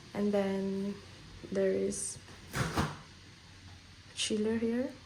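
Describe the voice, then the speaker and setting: A woman talks at a medium pitch with fairly even intonation. Noticeable background noise sits behind her. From Malaysia. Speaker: exchange student. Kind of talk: casual room tour vlog.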